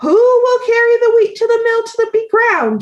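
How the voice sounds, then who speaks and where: A woman puts on a squeaky character voice. It sits at an extremely high pitch. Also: moderate pace. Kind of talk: bedtime story. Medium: read story.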